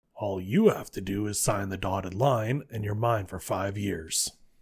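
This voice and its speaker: A raspy put-on character voice from a man, fairly low in pitch, with fairly even intonation at a moderate pace. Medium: audio drama. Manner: blunt, dry.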